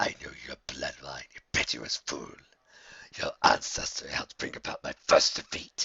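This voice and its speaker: In a raspy, put-on character voice, a man talks at a moderate pace. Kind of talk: read story. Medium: read story. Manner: mocking, menacing.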